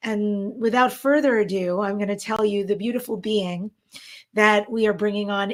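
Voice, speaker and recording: A woman speaks with an American accent. Her pitch is fairly high. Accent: New York, mostly trained away, slips in. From New York. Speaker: event co-host, talk show host, former actress. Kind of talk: live online event hosting, casual chat. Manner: animated.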